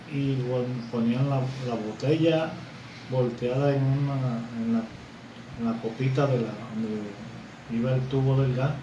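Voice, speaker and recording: Amid noticeable background noise and audible room echo, a man talks at a fairly slow pace and medium pitch, flat and monotone, with long, frequent pauses. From Colombia, Barranquilla (Caribbean coast). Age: 60s. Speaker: grandfather interviewed about the past. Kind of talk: interview recollection. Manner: halting, many repetitions.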